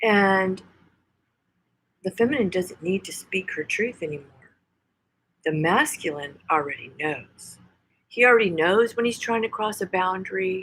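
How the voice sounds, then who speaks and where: A woman with an American accent speaks at a moderate pace, her intonation lively, with long, frequent pauses. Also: medium pitch for a woman. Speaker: tarot reader. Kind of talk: tarot reading. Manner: preachy, emphatic.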